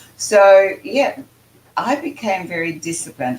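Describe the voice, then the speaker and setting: A woman's voice with very wide pitch swings at a fairly slow pace, over noticeable background noise. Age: 80s+. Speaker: spiritual channeler and author. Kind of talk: casual chat.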